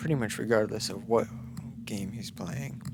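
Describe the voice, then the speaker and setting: A man is whispering. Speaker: gaming youtuber. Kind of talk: gameplay commentary. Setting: home recording at night. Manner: halting.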